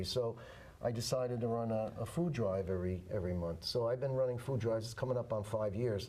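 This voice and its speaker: A man talks at a fairly quick pace with ordinary pitch variation. The recording has audible room echo and noticeable background noise. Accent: New York. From New York City (Manhattan). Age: 70s. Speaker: war veteran. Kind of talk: interview. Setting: studio.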